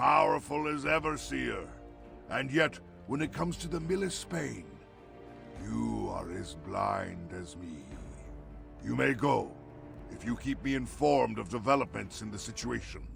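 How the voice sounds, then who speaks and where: A put-on character voice goes at a moderate pace with long, frequent pauses as clear music plays in the background. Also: man, very deep, low pitch for a man. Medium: video game. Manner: imperious, grandiose.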